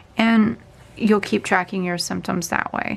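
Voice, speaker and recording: Noticeable background noise fills the clip. Through it, a woman speaks at a fairly slow pace. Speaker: planner YouTuber. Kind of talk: tutorial.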